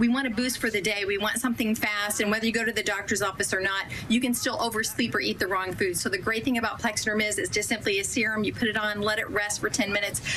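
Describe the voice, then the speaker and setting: Against noticeable background noise, a woman with a fairly high pitch talks at a very fast pace with hardly any pauses, very even loudness and fairly even intonation. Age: 60s. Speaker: product spokesperson. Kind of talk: sales pitch.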